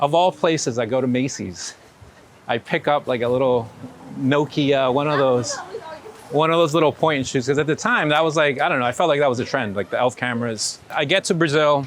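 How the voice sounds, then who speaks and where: A man talks at a moderate pace in a fairly high voice, with ordinary pitch variation. Noticeable background noise runs underneath. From New York (born in Ecuador). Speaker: street photographer. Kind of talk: casual interview storytelling. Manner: animated, hesitant with repeated words.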